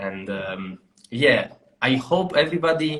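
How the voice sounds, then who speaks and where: Speaking with an Italian accent, a man moves at a very slow pace with lively intonation. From Italy. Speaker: podcast host. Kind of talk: casual chat. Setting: live online stream.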